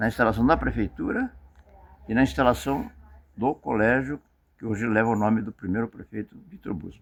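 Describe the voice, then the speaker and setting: A man's medium-pitched voice with vocal fry, at a fairly quick pace broken by long, frequent pauses, with ordinary pitch variation. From Paraná, southern Brazil. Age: 80s+. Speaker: retired tailor and merchant. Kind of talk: interview, life story. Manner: halting, repeats words.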